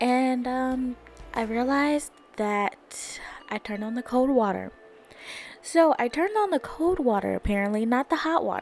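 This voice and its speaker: With music in the background, a woman speaks loudly at a high pitch and with lively intonation. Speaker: podcast host. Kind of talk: casual chat. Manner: fast.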